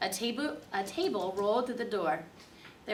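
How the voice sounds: Natural voice, reading aloud.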